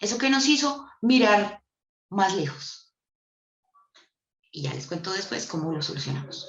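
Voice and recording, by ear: A woman speaks at a fairly slow pace with big pitch swings, and the room echo is audible. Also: medium pitch for a woman.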